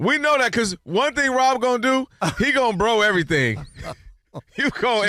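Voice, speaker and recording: Extremely high in pitch, a man speaks in a raised, projected voice at a moderate pace. Long, frequent pauses break up his speech. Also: ordinary pitch variation. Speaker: radio show co-host. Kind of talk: casual, informal.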